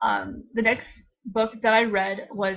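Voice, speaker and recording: A woman talks in a fairly high pitch with a bright, sharp tone. Her intonation is monotone and flat. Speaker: book vlogger. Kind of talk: casual chat. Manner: fast.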